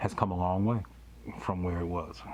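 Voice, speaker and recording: A man speaks with a very deep, low voice that is somewhat breathy, his intonation fairly even. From US South, Louisiana (Baton Rouge). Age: 50s. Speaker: pastor and podcast host. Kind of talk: interview podcast.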